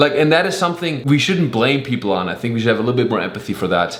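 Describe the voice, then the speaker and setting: A man with a fairly high voice talks with ordinary pitch variation while noticeable background noise plays behind him. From Germany. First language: German. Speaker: stand-up comedian. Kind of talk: casual comedic talk to camera.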